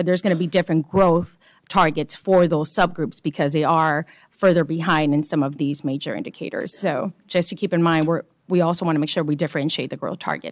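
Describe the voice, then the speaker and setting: A woman talks at a very fast pace with fairly low pitch and fairly even intonation. The sound is dry and close with no echo, over a quiet background. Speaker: state education board member. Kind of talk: public board meeting discussion. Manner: passionate tone.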